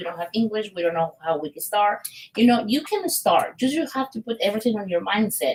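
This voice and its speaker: A woman with a Mexican accent, fairly high-pitched and somewhat breathy, with lively intonation. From Mexico, Guanajuato. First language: Spanish. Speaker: business owner. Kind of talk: interview. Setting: studio.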